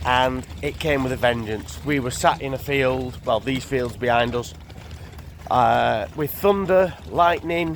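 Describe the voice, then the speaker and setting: With noticeable background noise around him, a man of medium pitch speaks fairly slowly, his voice making very wide pitch swings. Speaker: narrowboat vlogger. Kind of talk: casual vlog chat. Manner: casual, filler-heavy.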